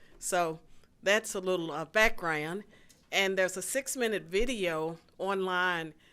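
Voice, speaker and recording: A woman with an Appalachian Virginia accent speaks at a fairly slow pace in a bright, sharp tone of medium pitch with ordinary variation, on a very clean recording with a silent background. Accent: Southern US (Appalachian Virginia). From rural southwestern Virginia, US. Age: 60s. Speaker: political science professor and author. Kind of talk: policy lecture. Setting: stage with live audience.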